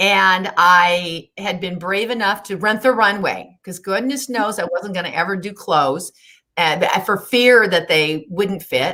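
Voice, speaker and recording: A woman speaks at a fairly slow pace with a bright, sharp tone. Her pitch is medium and varies in an ordinary way. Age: 60s. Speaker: weight-loss success story guest. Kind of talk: interview.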